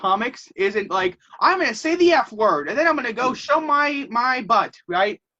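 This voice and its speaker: An animated man projects his raised voice at an extremely high pitch, his pitch swinging very widely. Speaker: podcast host. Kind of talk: casual chat. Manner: fast, animated.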